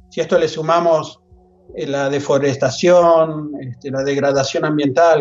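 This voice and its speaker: At a fairly slow pace, a man talks in a fairly high pitch with fairly even intonation. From Argentina, La Plata. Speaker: anthropologist and professor. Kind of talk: interview. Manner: halting, many repetitions and fillers.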